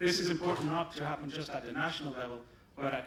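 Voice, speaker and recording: Over noticeable background noise and audible room echo, a man with a German accent talks at a very fast pace with fairly even intonation. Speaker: pharmaceutical company executive. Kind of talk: conference presentation.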